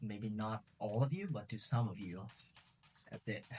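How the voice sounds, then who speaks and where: Speaking in a Vietnamese accent, a man sounds somewhat breathy, with a medium pitch and ordinary pitch variation. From Vietnam, Ho Chi Minh City. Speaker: travel youtuber and martial artist. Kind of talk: interview. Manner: hesitant, many fillers.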